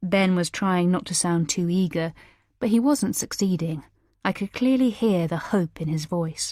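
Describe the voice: Plain reading aloud with ordinary pitch variation. The background is quiet.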